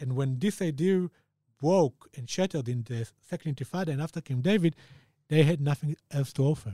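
With an Israeli accent, a man speaks at a fairly high pitch in a dark, mellow, somewhat breathy tone, ordinary pitch variation and a fairly quick pace, the sound dry and close with no echo. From Israel, Jerusalem. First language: Hebrew. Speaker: author. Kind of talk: interview.

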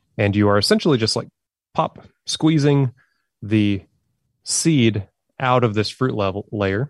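A man at a medium pitch, fairly slow, with long, frequent pauses, ordinary pitch variation, a dry, close sound with no echo and a quiet background. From Oklahoma. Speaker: coffee professional. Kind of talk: casual educational chat.

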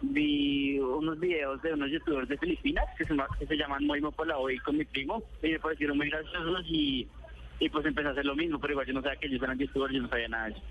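Against noticeable background noise, a man talks at a fairly quick pace and fairly high pitch. His intonation is fairly even and his loudness very even. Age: 20s. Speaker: youtuber. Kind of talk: phone interview. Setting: phone call. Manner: halting.

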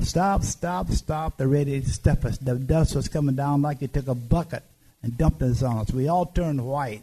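A man speaks at a moderate pace and a fairly high pitch, with ordinary pitch variation. His voice is somewhat breathy, with a dark, mellow tone. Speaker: army veteran. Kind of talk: testimony. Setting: live event with audience.

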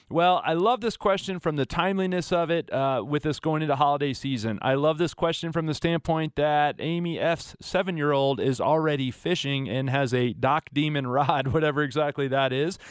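A man uses an ordinary speaking voice with a fairly high pitch and ordinary pitch variation. He keeps a moderate pace, very even loudness and hardly any pauses. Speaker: fill-in radio host. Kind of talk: radio dj patter. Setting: radio studio. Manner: upbeat, smooth, friendly.

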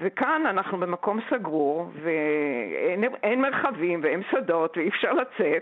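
With very wide pitch swings around a medium pitch, a woman speaks at a fairly slow pace. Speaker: painter. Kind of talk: radio interview.

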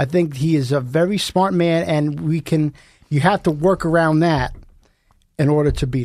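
Over a quiet background, a man with an unremarkable speaking voice talks at a fairly high pitch and a moderate pace. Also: ordinary pitch variation. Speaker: podcast host. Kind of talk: casual chat. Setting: studio.

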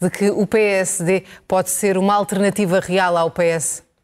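Intonation remains fairly even. It is an unremarkable speaking voice. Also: woman. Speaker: TV news anchor. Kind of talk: televised political debate moderation.

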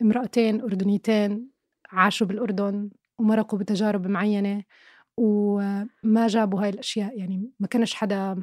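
A woman speaks at a medium pitch and a fairly slow pace, her intonation monotone and flat. The very clean recording has a silent background and a dry, close sound with no echo. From Jordan, Irbid. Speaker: film and TV critic. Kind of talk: casual interview.

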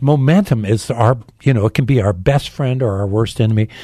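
An American-accented man speaks at a fairly quick pace, his tone dark and mellow, somewhat breathy, with ordinary pitch variation. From Phoenix, Arizona. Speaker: pastor. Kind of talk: interview.

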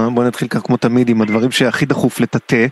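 Noticeable background noise sits under a man talking at a very fast pace, his voice captured dry and close with no echo. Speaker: radio culture show host. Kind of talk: casual radio interview. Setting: radio studio.

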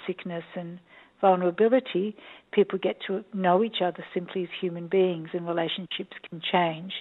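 A woman speaks with an Australian accent. Her fairly low voice keeps a fairly even intonation. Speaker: documentary director and psychologist. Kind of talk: interview. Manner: hesitant, many ums.

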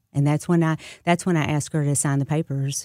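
In a Southern US accent, a woman speaks with a very deep, low pitch, a dark, mellow tone and monotone, flat intonation, on a very clean recording with a silent background and a dry, close sound with no echo. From US South, moved widely (Memphis, Dallas, California to Florida). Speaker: state senator and political candidate. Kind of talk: radio interview. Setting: studio.

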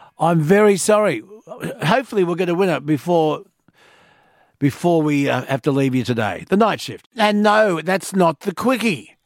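With an Australian accent, a man talks at a fairly slow pace in a high voice with lively intonation. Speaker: overnight talkback radio host. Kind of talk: talkback radio. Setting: radio studio.

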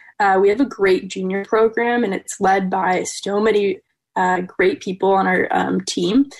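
Speaking fairly slowly, a woman with a plain, everyday voice keeps a medium pitch and ordinary pitch variation. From Wisconsin. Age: 20s. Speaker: ski jumper. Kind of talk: interview.

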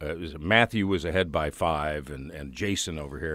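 In a very clean recording with a silent background, a man with an American accent and vocal fry speaks at a moderate pace. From Chicago area, Illinois. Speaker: radio host. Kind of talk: casual interview chat.

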